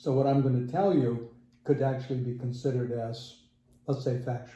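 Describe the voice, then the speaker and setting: A man talks at a moderate pace and a medium pitch, his intonation fairly even. The tone is dark, mellow and somewhat breathy, with audible room echo. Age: 70s. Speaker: interviewee, working technical manager. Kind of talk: casual interview.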